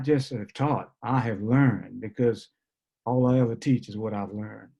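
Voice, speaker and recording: A man's dark, mellow medium pitch in a New Orleans accent, with fairly even intonation. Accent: New Orleans Southern US. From US South, New Orleans. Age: 70s. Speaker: basketball coach and mentor. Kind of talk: panel discussion. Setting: video call.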